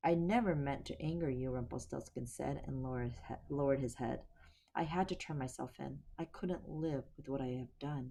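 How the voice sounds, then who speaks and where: A shaky put-on character voice with a low-to-middle pitch moves at a moderate pace. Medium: read story. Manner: timid, trembling.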